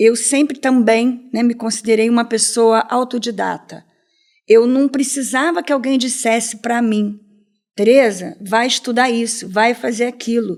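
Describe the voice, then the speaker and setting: A woman's fairly high-pitched, normal speaking voice at a fairly slow pace, with fairly even intonation. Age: 60s. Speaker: entrepreneur. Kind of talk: interview.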